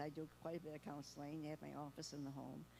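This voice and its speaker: A woman's very deep, low voice with a dark, mellow tone. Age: 80s+. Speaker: counselor. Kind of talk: panel discussion.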